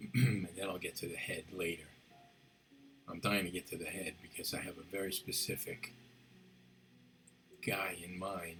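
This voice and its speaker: Soft-spoken and very deep in pitch, a man talks at a moderate pace with fairly even intonation and long, frequent pauses while music plays in the background. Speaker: sculptor. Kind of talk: tutorial. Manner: halting.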